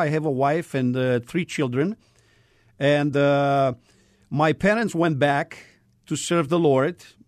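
A man speaks with a Romanian accent at a fairly slow pace. The background is quiet. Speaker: missionary. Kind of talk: testimony. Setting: studio. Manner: halting.

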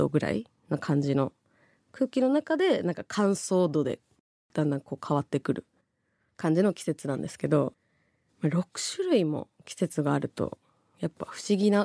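A woman with a very deep, low pitch and a dark, mellow tone speaks at a moderate pace with lively intonation, long, frequent pauses and big swings in loudness, in a dry, close sound with no echo. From Japan, Tokyo (Kita ward, Oji). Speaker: radio host, TV personality. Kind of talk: late-night radio talk. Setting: radio studio. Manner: casual, chatty.

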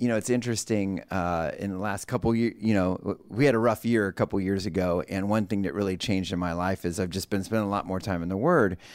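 A man speaks very fast with hardly any pauses, at a fairly low pitch and with ordinary pitch variation, on a very clean recording with a silent background. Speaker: podcast co-host. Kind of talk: podcast panel discussion. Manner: casual, animated.

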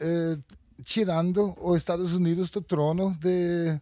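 A man speaks with a Danish accent at a fairly slow pace. His pitch is high for a man. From Denmark. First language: Danish (speaking Portuguese). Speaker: futurist. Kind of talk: panel discussion. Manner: halting.

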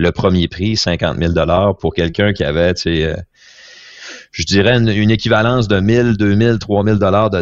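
With ordinary pitch variation, a man's speech unfolds at a fairly slow pace. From Quebec. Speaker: company CEO, entrepreneur. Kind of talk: interview testimony. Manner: halting, many fillers and repetitions.

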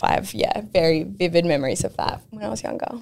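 Delivery comes at a fairly quick clip. It is spoken with an Australian accent. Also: woman. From Wollongong, Australia. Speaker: rugby league player. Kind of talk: casual interview chat.

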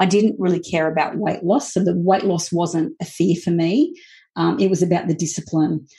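A woman speaks at a moderate pace with a fairly low pitch and vocal fry. Her loudness stays very even, and her pitch varies in an ordinary way. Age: 40s. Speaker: business coach. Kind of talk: casual chat. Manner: hesitant, many fillers.

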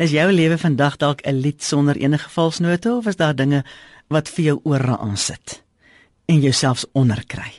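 A woman with very deep, low pitch and lively intonation in a dry, close sound with no echo. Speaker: devotional speaker. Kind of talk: radio devotional.

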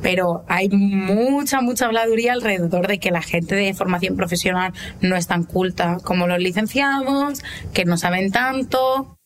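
Over noticeable background noise, a woman speaks at a medium pitch and a fairly slow pace, with ordinary pitch variation and very even loudness. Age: 20s. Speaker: vocational automotive student. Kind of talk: interview.

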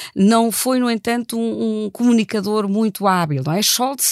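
A woman with a normal speaking voice talks at a moderate pace and medium pitch, the sound dry and close with no echo. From Germany. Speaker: political science professor. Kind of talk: analytical interview.

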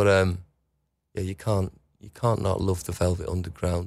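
A man with a Liverpool accent speaks in a fairly low voice on a very clean recording with a silent background. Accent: Liverpool (Scouse). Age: 40s. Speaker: musician. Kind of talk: casual chat. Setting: studio. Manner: halting.

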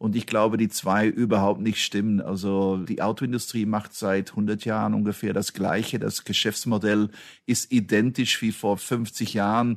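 A man's fairly low, monotone voice at a fairly slow pace over a quiet background. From Belgium. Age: 50s. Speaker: automotive executive. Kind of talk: interview.

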